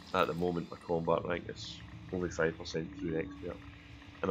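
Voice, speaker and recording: With a Glaswegian accent, a man with a very deep, low pitch talks at a very fast pace in a flat, monotone intonation. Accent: Glaswegian Scottish. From Glasgow, Scotland. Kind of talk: casual gameplay commentary. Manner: relaxed, chatty.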